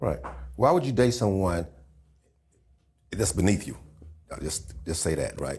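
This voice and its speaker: Very wide pitch swings from a man with a fairly low pitch and vocal fry, broken by long, frequent pauses. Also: moderate pace. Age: 60s. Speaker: podcast co-host. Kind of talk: casual chat.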